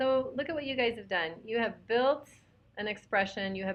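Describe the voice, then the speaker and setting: Ordinary pitch variation runs through this woman's speech. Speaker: math teacher. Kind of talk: online webinar lesson. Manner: loud.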